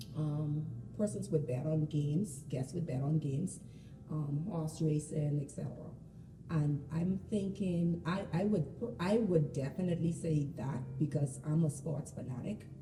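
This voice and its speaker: Over music in the background, a woman speaks with a very deep, low pitch and ordinary pitch variation. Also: fairly slow pace. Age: 40s. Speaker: casino worker. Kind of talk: interview. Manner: halting, many repeated words.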